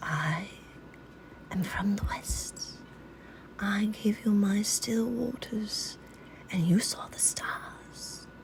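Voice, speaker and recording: A woman whispers in a put-on character voice. She goes at a very slow pace. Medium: read story. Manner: gentle, soothing.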